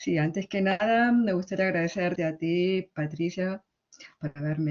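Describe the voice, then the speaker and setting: Speaking in a strong Argentine accent, a woman uses a fairly low pitch, ordinary pitch variation and a fairly slow pace. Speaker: literary translator. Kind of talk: conference talk. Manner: halting.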